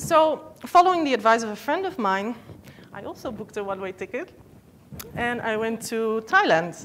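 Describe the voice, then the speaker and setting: Amid noticeable background noise, a woman speaks at a moderate pace in a fairly high pitch, with very wide pitch swings and big swings in loudness. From Netherlands. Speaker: yoga teacher. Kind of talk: talk to an audience.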